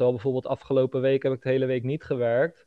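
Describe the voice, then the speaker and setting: This man talks with a pitch that sits fairly high. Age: 20s. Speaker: copywriter and funnel builder. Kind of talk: casual chat.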